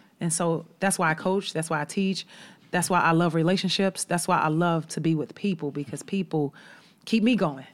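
Against a silent background in a very clean recording, a woman with an unremarkable speaking voice talks at a moderate pace in a fairly low pitch with ordinary pitch variation. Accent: American. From Chicago. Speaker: college basketball head coach. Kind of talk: casual interview chat. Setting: studio.

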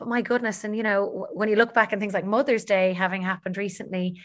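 Her intonation monotone and flat, a woman at medium pitch is heard on a very clean recording with a silent background. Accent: Dublin. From Ireland, Dublin. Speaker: health coach and TV panelist. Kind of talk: interview conversation.

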